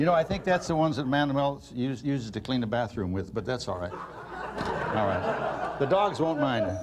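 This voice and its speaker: A man at a moderate pace amid loud background noise. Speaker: comedy cooking show co-host. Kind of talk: comedy cooking show. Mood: jokey, deadpan humor. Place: studio. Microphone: lapel.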